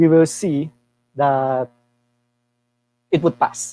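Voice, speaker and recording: This man's tone is dark and mellow, and he speaks at a very slow pace. The sound is dry and close, with no echo. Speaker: tech workshop speaker. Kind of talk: live coding tutorial.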